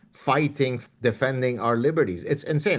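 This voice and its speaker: Talking at a moderate pace, a man speaks at medium pitch with an Arabic accent. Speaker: professor and author. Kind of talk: interview.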